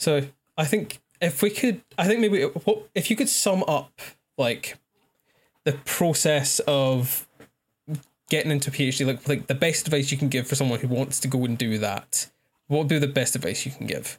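A somewhat breathy, fairly high male voice with a Scottish accent, lively intonation and a moderate pace. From Scotland. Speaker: astrophysics graduate, incoming PhD student. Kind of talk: casual chat.

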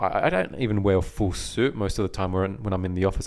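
A man with an American accent talks at a fairly quick pace in a fairly low voice. The recording is very clean, with a silent background. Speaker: podcast co-host. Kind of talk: casual chat. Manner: uses filler words often.

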